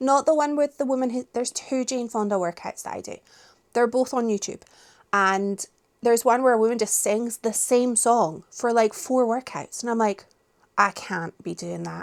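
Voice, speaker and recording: A woman with a Scottish accent at a fairly high pitch and moderate pace, ordinary pitch variation, dry, close sound with no echo, and a very clean recording with a silent background. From Scotland. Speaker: book vlogger. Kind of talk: casual vlog chat. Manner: animated.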